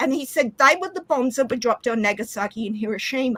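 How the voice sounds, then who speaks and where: A woman's high-pitched voice with an Australian accent and lively intonation, in a dry, close sound with no echo. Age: 40s. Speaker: live stream participant. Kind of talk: casual chat.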